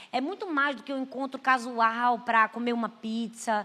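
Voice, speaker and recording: With a Brazilian accent, a woman of fairly high pitch speaks at a fairly slow pace in an animated, bright, sharp tone, in a very clean recording with a silent background. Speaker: pastor. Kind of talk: sermon.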